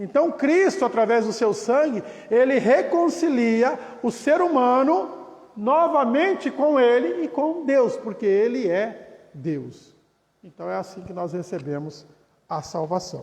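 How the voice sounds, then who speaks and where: A man speaks at an extremely high pitch and a very slow pace. His pitch swings very widely, and the room echo is audible. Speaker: pastor. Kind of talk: Bible study lecture.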